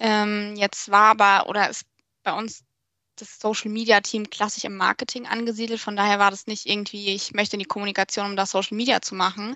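A woman's fairly high voice at a moderate pace. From Germany, Portuguese family. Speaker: social media manager. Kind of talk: podcast interview.

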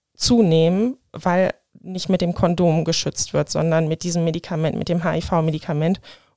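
Her ordinary speaking voice, fairly low in pitch, comes at a fairly slow pace as a woman talks in a very clean recording with a silent background and a dry, close sound with no echo. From Germany, Rhineland-Palatinate (Hahn). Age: 30s. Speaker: AIDS counselor and nurse. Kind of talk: interview.

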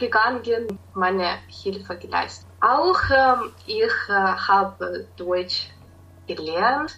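A woman speaks with a Ukrainian accent. Her pace is very slow. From Ukraine, Kyiv. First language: Ukrainian (speaking German). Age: 20s. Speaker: tutor. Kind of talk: interview. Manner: hesitant, with filler sounds.

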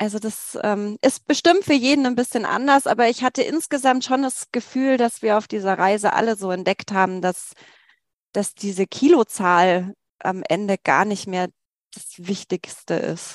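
Against a quiet background, a woman with a plain, everyday voice speaks at a moderate pace, fairly high in pitch with lively intonation, in a dry, close sound with no echo. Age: 40s. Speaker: teacher and former course participant. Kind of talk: interview testimony.

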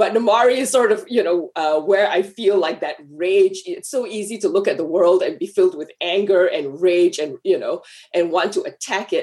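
Almost without pausing, the speaker keeps to a moderate pace. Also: woman. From Malaysia. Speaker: screenwriter. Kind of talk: interview.

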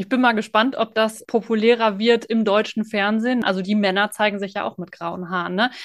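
A woman speaks in a plain, everyday voice at a fairly high pitch. Her pace is fairly quick with hardly any pauses, and her intonation stays fairly even. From Sauerland, Germany. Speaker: podcast host. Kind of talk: interview.

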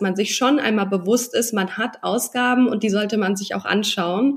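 A woman at a fairly high pitch and moderate pace, her intonation fairly even, over noticeable background noise. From Hesse, Germany (Darmstadt area, then Mannheim). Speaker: social media marketing entrepreneur. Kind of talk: interview.

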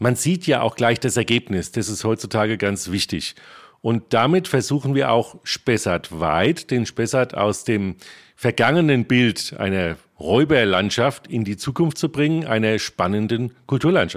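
Recorded very cleanly against a silent background, a man with an unremarkable speaking voice talks at a fairly slow pace in a medium pitch with lively intonation. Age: 50s. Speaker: historian and archaeology project leader. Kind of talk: interview.

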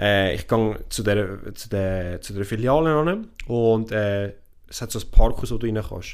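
A man talks at a fairly slow pace in a plain, everyday voice. His pitch is fairly low, with ordinary pitch variation and big swings in loudness. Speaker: podcast co-host. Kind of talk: casual chat.

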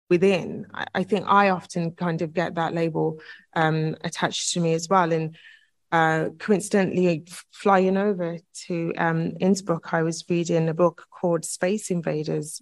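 Her intonation is monotone and flat. This woman speaks at a fairly low pitch and a moderate pace. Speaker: political science lecturer. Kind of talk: panel discussion. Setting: conference room with audience. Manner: halting, many fillers and repetitions.

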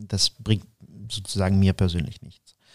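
In a very clean recording with a silent background and a dry, close sound with no echo, a man with a slight Ukrainian accent speaks in a dark, mellow tone. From Ukraine. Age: 40s. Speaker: interview guest. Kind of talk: interview. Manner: halting, many fillers.

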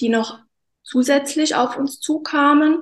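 The speaker moves at a very slow pace. The voice is somewhat breathy. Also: woman. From Hunsrück, Rhineland-Palatinate, Germany. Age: 40s. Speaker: bereaved guest, former banker. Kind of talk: personal testimony in interview. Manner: halting, many fillers.

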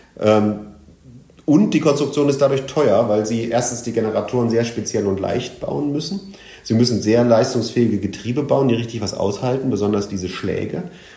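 The pace is moderate. Room echo is audible. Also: man, medium pitch for a man, ordinary pitch variation. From Germany, Sauerland (born in Leipzig). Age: 50s. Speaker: tech entrepreneur, head of innovation agency. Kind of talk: interview.

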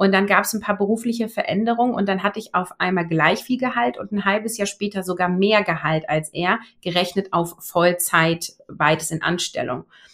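At a moderate pace and a medium pitch, a woman speaks with hardly any pauses and ordinary pitch variation. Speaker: online business coach, former agile coach. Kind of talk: interview conversation. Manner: clear, trained-sounding speech.

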